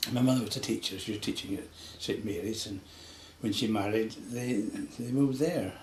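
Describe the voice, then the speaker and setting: With a west Highland Scottish accent, a man talks at a moderate pace and medium pitch, with audible room echo and noticeable background noise. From Scotland, west Highlands. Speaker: local elder interviewed about local history. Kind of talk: oral history interview.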